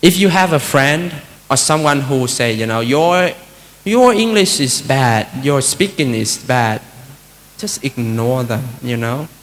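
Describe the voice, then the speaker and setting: A man with a Vietnamese accent speaks in a fairly high pitch with lively intonation, and there is noticeable background noise. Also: fairly slow pace. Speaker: Buddhist monk giving a talk. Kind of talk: dharma talk. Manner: conversational, many fillers.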